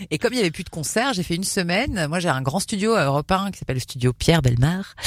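A woman with a fairly low voice swings her pitch very widely. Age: 40s. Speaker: radio host. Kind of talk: casual chat.

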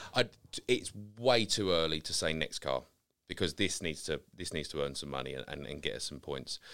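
A man talks at a fairly quick pace with vocal fry. His very deep, low pitch moves with lively intonation. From Essex, near Romford (east London edge). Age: 30s. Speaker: car care brand founder. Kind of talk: casual chat. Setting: studio.

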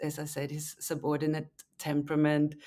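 At a moderate pace, a woman with a German accent speaks in a very deep, low pitch with a dark, mellow tone. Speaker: novelist. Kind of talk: interview. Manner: halting.

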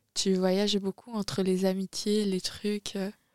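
The speech is very slow, with a dry, close sound and no echo. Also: woman. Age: 20s. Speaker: podcast host. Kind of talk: casual chat.

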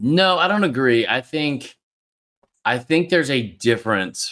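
A man's voice has a bright, sharp tone. The recording is very clean with a silent background. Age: 30s. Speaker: college football podcaster. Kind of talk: casual chat.

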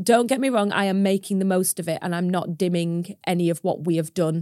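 A Lancashire accent and a dark, mellow tone, with ordinary pitch variation, in a very clean recording with a silent background and a dry, close sound with no echo. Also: woman. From northern England, Preston, Lancashire. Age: 30s. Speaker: farmer and social media creator. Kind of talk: interview conversation.

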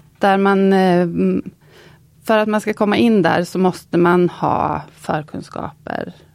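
A woman with a medium-pitched voice talks at a very slow pace, her pitch rising and falling in an ordinary way. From Östergötland, Linköping. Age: 50s. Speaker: goldsmith. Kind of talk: casual interview.

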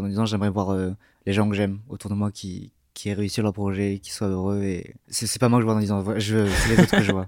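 On a very clean recording with a silent background, a man talks at a very fast pace in a monotone, flat delivery. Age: young. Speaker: musician. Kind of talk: interview. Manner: halting.

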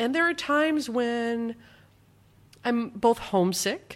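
At a fairly slow pace and with lively intonation, a woman talks in an ordinary speaking voice, recorded very cleanly against a silent background. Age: 40s. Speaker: former national radio host, author. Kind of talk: interview.

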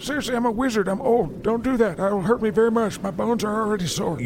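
A man puts on a high-pitched character voice and races along at a very fast pace over clear background noise. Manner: sarcastic, scheming, crude.

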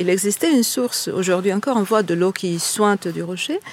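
Noticeable background noise runs under a woman's speech. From Italy. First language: Italian (speaking French). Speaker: tour guide. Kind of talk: guided tour explanation.

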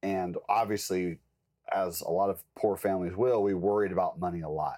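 In an unremarkable speaking voice with an American accent, a man of fairly low pitch talks at a moderate pace with fairly even intonation, on a very clean recording with a silent background. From US South, rural Georgia. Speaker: life coach and trader. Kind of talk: casual interview conversation.

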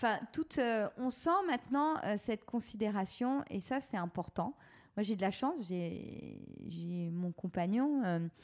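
Through a very clean recording with a silent background, a woman at medium pitch speaks at a very slow pace with very wide pitch swings. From France, Touraine. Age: 40s. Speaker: entrepreneur. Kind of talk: interview. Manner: hesitant, many fillers.

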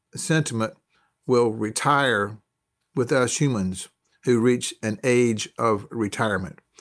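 A man with a Southern US accent at a medium pitch, speaking at a very slow pace with ordinary pitch variation on a very clean recording with a silent background. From US South, North Carolina. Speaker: university professor of logistics. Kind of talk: interview conversation.

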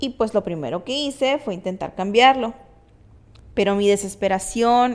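Her pace is fairly slow, with ordinary pitch variation. The woman has an unremarkable speaking voice. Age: 30s. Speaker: podcast host. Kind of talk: personal monologue.

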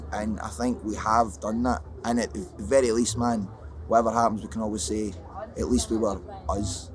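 Amid noticeable background noise and audible room echo, a man with a fairly low pitch speaks with long, frequent pauses. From Scotland. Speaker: rapper in a rock band. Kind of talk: casual interview chat. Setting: backstage at a music festival.

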